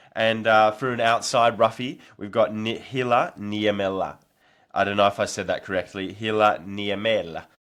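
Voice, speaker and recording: Against a quiet background, a man talks with an Australian accent. His pace is moderate. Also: fairly low pitch for a man, fairly even intonation. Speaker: nordic skiing podcast host and athlete. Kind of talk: casual predictions podcast.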